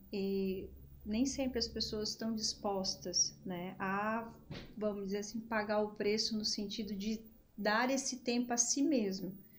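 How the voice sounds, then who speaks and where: A woman speaks in a plain, everyday voice with fairly high pitch. Her pace is fairly slow. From Brazil, Rio Grande do Sul (Gravataí). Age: 40s. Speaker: psychologist. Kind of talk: podcast interview.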